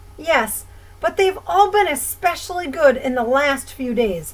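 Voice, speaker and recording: A woman uses a high-pitched, put-on character voice at a moderate pace. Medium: read story. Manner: hesitant, fussy.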